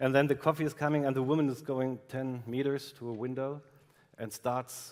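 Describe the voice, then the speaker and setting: Using ordinary pitch variation, a man with a German accent speaks at a medium pitch and moderate pace. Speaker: film director. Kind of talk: interview. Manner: halting.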